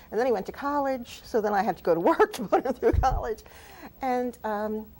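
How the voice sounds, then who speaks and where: High-pitched woman with a New Jersey accent, lively intonation, and a fairly quick pace. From New Jersey (Jersey City). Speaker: author. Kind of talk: TV talk show interview.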